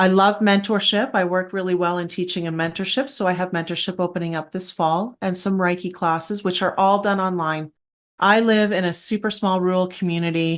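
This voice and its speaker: At a fairly quick pace, a woman with a Canadian accent talks at a medium pitch over a quiet background. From Canada, Alberta. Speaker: esoteric guide and paranormal educator. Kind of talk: interview conversation. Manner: animated.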